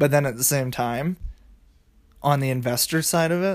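A man with an unremarkable speaking voice and a fairly high pitch talks with an American accent, at a moderate pace and with ordinary pitch variation. The recording is very clean, with a silent background. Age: 20s. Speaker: finance podcaster. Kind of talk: solo explainer monologue. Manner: casual, filler-heavy.

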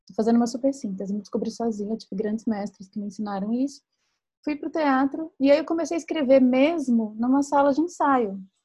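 Speaking at a very fast pace, a woman with a high pitch and a dark, mellow tone shows big swings in loudness. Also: ordinary pitch variation. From Minas Gerais, Brazil. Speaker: writer and podcast host. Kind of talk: casual chat. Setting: livestream video call.

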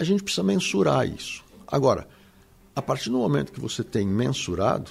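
Swinging very widely in pitch around a medium level, a man talks at a moderate pace with vocal fry. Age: 60s. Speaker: marketing professor and consultant. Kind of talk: interview.

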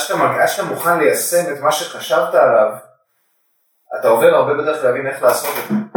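A man at a moderate pace with long, frequent pauses, audible room echo and music in the background. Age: 40s. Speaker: coffee professional and father. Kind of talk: casual chat. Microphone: faulty microphone, poor recording quality.

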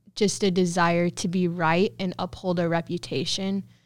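A woman with a Midwestern American accent talks at a very slow pace. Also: very clean recording, silent background. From Southwest Kansas. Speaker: college student. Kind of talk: testimony.

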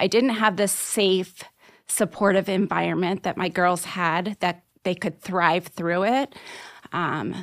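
In a very clean recording with a silent background, a woman with a normal speaking voice talks at medium pitch and a fairly slow pace. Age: 40s. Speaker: life coach. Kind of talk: interview.

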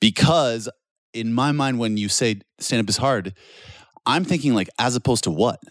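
A man talks at a moderate pace at a medium pitch with ordinary pitch variation, an ordinary speaking voice. The sound is dry and close, with no echo. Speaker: comedian and podcast host. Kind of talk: casual podcast chat.

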